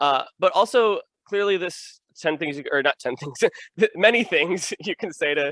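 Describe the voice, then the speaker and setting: A man speaks at a moderate pace with lively intonation and a high pitch. His tone is bright and sharp, and the sound is dry and close with no echo. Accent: American. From Illinois. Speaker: podcast host. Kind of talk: podcast interview.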